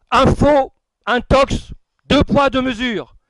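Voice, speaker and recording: Captured dry and close with no echo, a man speaks very slowly at an extremely high pitch. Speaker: dinner organizer and speaker. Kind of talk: after-dinner speech. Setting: dinner hall with audience. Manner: formal.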